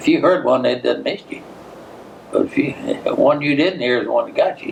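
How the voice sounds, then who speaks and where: There is noticeable background noise. A man with a Tennessee accent talks at a fairly quick pace. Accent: Southern American (Tennessee). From Giles County, Tennessee. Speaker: World War II veteran. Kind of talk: oral history interview answer.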